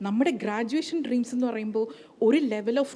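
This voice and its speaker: Speaking with a Kerala accent, a woman uses a fairly high pitch and ordinary pitch variation. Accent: Malayali accent in English. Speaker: economist. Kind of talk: panel talk at business conclave.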